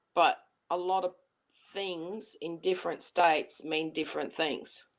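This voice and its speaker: An Australian accent at a fairly slow pace, with fairly even intonation. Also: woman, fairly low pitch for a woman. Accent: Aussie. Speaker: livestream guest. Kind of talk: casual chat.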